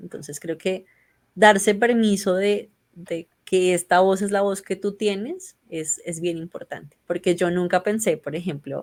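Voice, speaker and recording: The speaker is a woman at a medium pitch. She goes at a fairly slow pace with ordinary pitch variation. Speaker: podcaster, member of a feminist reading collective. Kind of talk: interview. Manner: strong sibilant s sounds.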